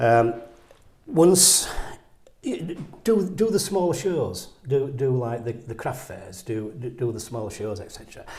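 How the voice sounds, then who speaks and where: Big swings in loudness and very wide pitch swings at a fairly slow pace, amid noticeable background noise and audible room echo. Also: man, medium pitch for a man. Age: 60s. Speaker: painter. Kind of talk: interview conversation. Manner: halting, repetitive stammering.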